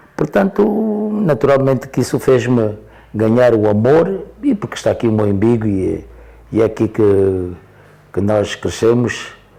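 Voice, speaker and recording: A man speaks at medium pitch with lively intonation. Noticeable background noise sits behind him. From Angola, Porto Amboim (Cuanza Sul). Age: 70s. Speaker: elder interviewee. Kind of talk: interview storytelling. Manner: halting, repetitive.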